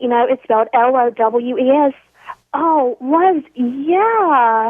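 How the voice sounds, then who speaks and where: A high-pitched woman's voice with a Southern US accent, very slow in pace and lively in intonation. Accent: Southern American. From US South. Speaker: caller. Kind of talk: casual chat.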